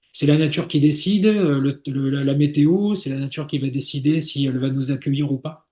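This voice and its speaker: His tone is dark and mellow, his pitch fairly high for a man. He speaks somewhat breathily at a moderate pace. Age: 60s. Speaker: sailor and travel agency founder. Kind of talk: interview. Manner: halting, many repetitions and fillers.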